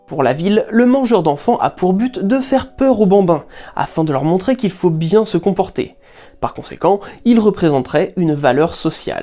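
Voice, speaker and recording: Speaking at a moderate pace, a woman has a medium pitch, a dark, mellow tone and very wide pitch swings. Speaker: narrator of a curiosities channel. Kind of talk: scripted narration.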